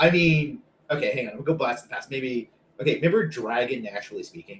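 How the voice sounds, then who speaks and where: Talking at a very fast pace, a man with a slight Canadian accent uses a fairly high pitch, lively intonation and big swings in loudness. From Canada. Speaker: data professional and co-host. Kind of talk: casual chat.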